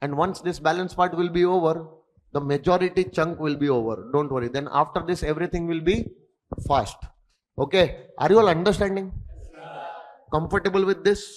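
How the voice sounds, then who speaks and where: A man with an Indian accent speaks at a fairly quick pace and a high pitch. He leaves long, frequent pauses. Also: ordinary pitch variation. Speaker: accountancy and tax exam tutor. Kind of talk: lecture.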